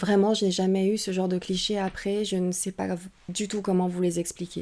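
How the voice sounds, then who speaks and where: A woman with a Saint-Étienne accent speaks at a fairly slow pace in a dark, mellow tone. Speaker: paranormal investigator and streamer. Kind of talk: testimony. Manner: hesitant, many filler sounds.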